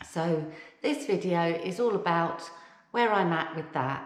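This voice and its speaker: With an English accent, a woman talks in a fairly low pitch. Her intonation is lively, and room echo is audible. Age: 50s. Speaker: vlogger. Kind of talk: casual vlog talk. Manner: conversational with frequent fillers.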